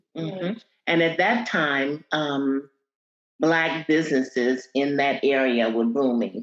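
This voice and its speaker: A woman with a very deep, low pitch speaks with lively intonation and very even loudness. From Columbus, Ohio (US Midwest). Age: 70s. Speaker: community elder. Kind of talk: oral history interview. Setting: video call.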